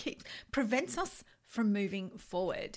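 With an Australian accent, a woman speaks somewhat breathily, her intonation lively. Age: 50s. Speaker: life coach and podcast host. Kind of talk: solo self-help podcast monologue.

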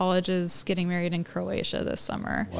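A woman speaks at a moderate pace with a medium pitch. Noticeable background noise runs under her voice. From Oregon. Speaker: small urban farmer. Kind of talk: casual chat.

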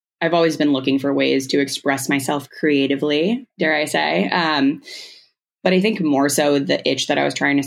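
Speaking at a moderate pace, a woman has a very deep, low pitch, vocal fry, ordinary pitch variation and very even loudness. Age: 20s. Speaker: social media creator. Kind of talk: casual chat.

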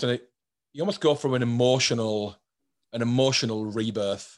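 A man with a British accent speaks at a medium pitch. His pace is fairly quick, and the background is quiet. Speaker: podcast host. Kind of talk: casual interview chat.

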